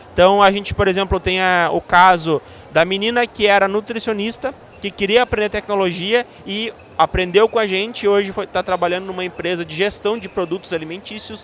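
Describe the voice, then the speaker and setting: Speaking at a fairly quick pace with fairly even intonation, a man with a southern Brazilian accent has a high pitch. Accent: gaúcho Brazilian Portuguese. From southern Brazil, Rio Grande do Sul (Santa Maria). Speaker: tech education analyst. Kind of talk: podcast interview. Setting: live event podcast set. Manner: hesitant, many filler sounds.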